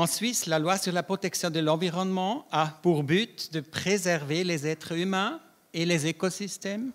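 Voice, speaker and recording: In a very clean recording with a silent background, a man talks at a fairly slow pace, his pitch high for a man with ordinary variation. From Switzerland, Davos (Graubünden). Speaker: public health scientist. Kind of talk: conference talk. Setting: round-table conference with audience.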